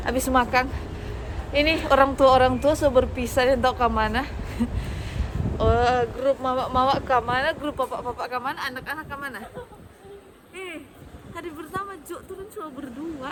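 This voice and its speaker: Over noticeable background noise, a woman speaks at a high pitch with ordinary pitch variation and long, frequent pauses. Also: moderate pace, big swings in loudness. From Indonesia, Manado (North Sulawesi). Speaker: vlogger. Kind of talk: casual vlog chat. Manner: chatty, animated.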